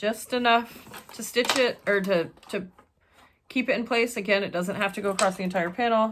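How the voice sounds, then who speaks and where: In a very clean recording with a silent background, a woman speaks loudly in a fairly high pitch, her tone bright and sharp, with ordinary pitch variation. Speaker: sewing pattern designer and tutorial creator. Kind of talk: casual chat; tutorial.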